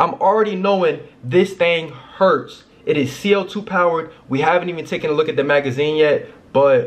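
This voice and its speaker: A man at a moderate pace, with lively intonation. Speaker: youtuber. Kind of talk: casual unboxing vlog chat. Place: home room.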